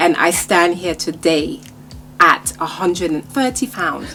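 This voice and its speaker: Music plays in the background. Over it, a woman speaks at a very slow pace. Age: 50s. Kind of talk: interview answer.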